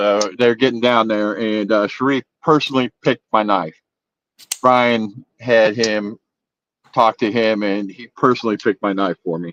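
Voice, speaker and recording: This man's voice sits fairly low and moves at a moderate pace. The sound is dry and close, with no echo. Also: fairly even intonation. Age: 60s. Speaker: knife collector. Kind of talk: casual chat. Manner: halting, many repeated words.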